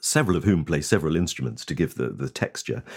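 A man's voice carries vocal fry and ordinary pitch variation. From East Anglia. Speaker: radio newsreader and concert narrator. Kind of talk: interview. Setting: video call.

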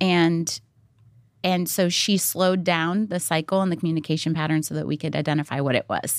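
At a fairly quick pace, a woman with a fairly low pitch and a plain, everyday voice speaks with fairly even intonation. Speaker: mother and wife of a country musician. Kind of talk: casual chat.

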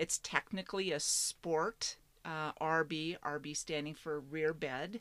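Very deep and low in pitch, a woman with an American accent speaks at a very slow pace with fairly even intonation. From Washington State, US Pacific Northwest. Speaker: geocaching hobbyist and solo RVer. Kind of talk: casual interview. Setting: outdoors at a state park campground.

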